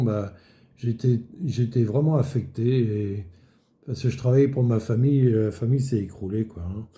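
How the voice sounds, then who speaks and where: A man's medium-pitched voice is dark, mellow and somewhat breathy, with fairly even intonation. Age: 70s. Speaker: retired market gardener giving faith testimony. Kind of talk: testimony. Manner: halting, many fillers.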